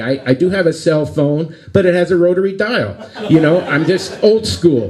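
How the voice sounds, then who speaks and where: A man's moderately paced speech, with ordinary pitch variation, comes through noticeable background noise. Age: 60s. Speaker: stand-up comedian. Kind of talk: live stand-up comedy set. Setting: live venue with audience. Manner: tame, corny.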